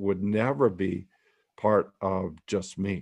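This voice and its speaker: A man speaks in an ordinary speaking voice, pitched fairly low, at a fairly slow pace. The background is quiet. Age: 60s. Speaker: workshop leader and teacher. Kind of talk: online group meeting and talk. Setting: video call.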